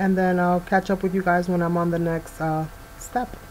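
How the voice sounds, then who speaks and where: Her intonation is monotone and flat at a moderate pace. The woman's pitch is fairly low, with light background noise. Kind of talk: tutorial voiceover.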